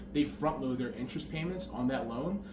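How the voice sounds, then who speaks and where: A man talks at a very fast pace with ordinary pitch variation, amid noticeable background noise and audible room echo. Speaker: real estate broker. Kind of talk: explainer tutorial. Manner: casual, conversational.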